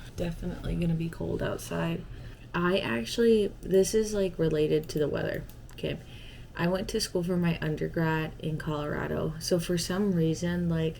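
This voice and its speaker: With a dark, mellow tone and a fairly low pitch, a woman speaks at a moderate pace with ordinary pitch variation, with audible room echo around her. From Arizona. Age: 20s. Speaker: lifestyle vlogger. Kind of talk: casual vlog chat. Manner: chatty, rambling with fillers.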